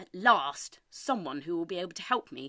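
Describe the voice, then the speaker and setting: Growling in a put-on character voice, the speaker projects a raised voice at a middle pitch and a moderate pace. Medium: read story. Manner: indignant, questioning.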